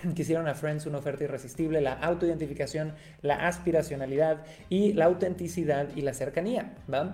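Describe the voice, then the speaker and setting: Speaking at a fairly quick pace with a Mexican accent, a man uses a fairly high pitch and a dark, mellow tone. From Mexico, Cancún. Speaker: podcast host, marketing agency. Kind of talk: solo podcast monologue. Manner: animated.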